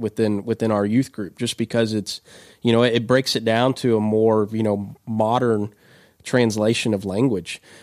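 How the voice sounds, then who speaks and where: With a Kentucky accent, a man talks at a medium pitch with fairly even intonation in a very clean recording against a silent background. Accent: Kentucky Southern US. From central Kentucky. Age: young. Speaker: youth pastor. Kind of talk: casual chat. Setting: studio. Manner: halting, many repeated words.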